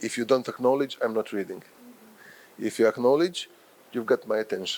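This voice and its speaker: A man is speaking at medium pitch. His pace is fairly quick. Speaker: professor and journal editor. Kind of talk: lecture. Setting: workshop with live audience.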